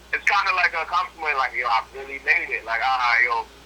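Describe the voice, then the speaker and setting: A man talks at a fairly quick pace. Background noise is noticeable behind him. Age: 20s. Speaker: incarcerated guest. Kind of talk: casual interview.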